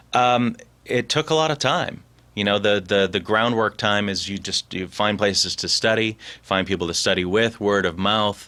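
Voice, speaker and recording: On a very clean recording with a silent background, a man with a plain, everyday voice speaks at a fairly low pitch and moderate pace with ordinary pitch variation. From Boston area. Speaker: voice actor. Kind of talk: interview answer.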